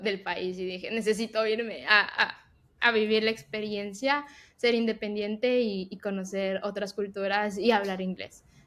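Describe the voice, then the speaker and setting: This woman has an ordinary speaking voice, fairly high in pitch, delivered at a fairly slow pace with fairly even intonation. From Ecuador. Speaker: tech professional and podcast co-host. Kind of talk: casual interview chat.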